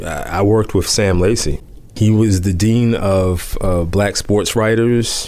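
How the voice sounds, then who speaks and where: With fairly even intonation, a man's fairly low voice comes through noticeable background noise. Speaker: journalist and columnist. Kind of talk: interview.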